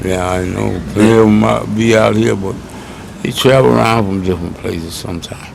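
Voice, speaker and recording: Very deep and low, a man's voice swings very widely in pitch at a moderate pace over noticeable background noise. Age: 70s. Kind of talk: interview answer. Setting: outdoors.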